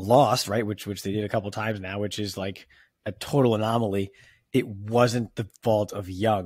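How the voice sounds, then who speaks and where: Against a silent background in a very clean recording, a man talks at a moderate pace in an ordinary speaking voice, with fairly low pitch and fairly even intonation. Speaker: podcast host, football analyst. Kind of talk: casual chat.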